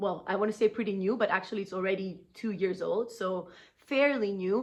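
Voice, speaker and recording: A woman speaks at a moderate pace in a medium pitch, with a plain, everyday voice. Her intonation stays fairly even. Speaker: concert pianist. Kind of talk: casual vlog talk. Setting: backstage at a concert, intermission.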